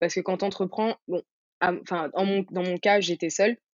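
A woman talks fairly quickly at a medium pitch. Her intonation is flat and monotone. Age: 20s. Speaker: entrepreneur, founder of a hair care brand. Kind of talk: interview.

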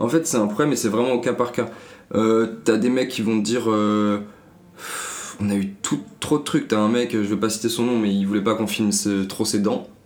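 A man speaks at a moderate pace and medium pitch, with fairly even intonation and long, frequent pauses. His loudness stays very even, and audible room echo fills the space. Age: 20s. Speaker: media co-founder. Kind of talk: casual interview.

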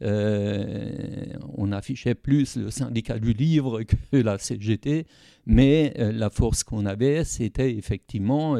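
In a dry, close sound with no echo, a man speaks very slowly at medium pitch, his dark, mellow tone carrying ordinary pitch variation. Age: old. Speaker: retired trade unionist. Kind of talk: interview.

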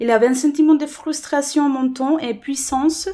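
On a very clean recording with a silent background, a woman with a Spanish accent speaks at a fairly slow pace in a dark, mellow tone. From Colombia. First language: Spanish (speaking French). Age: 30s. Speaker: interviewee. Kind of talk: personal testimony. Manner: halting, many repetitions.

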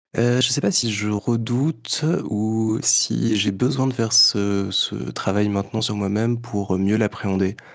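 A man speaks at a very slow pace in a fairly low pitch, his intonation fairly even. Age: 20s. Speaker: podcaster. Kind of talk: interview; podcast excerpt, introspective monologue.

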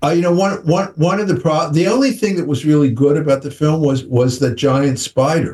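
A man's fairly high voice, somewhat breathy, at a fairly slow pace with hardly any pauses. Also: ordinary pitch variation. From United States. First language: English (speaking French). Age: 70s. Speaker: film director. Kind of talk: interview. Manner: halting.

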